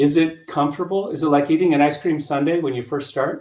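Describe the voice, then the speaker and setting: A man with an American accent speaks with ordinary pitch variation. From US, rural Colorado. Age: 60s. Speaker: yoga instructor. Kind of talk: interview, explaining exercises.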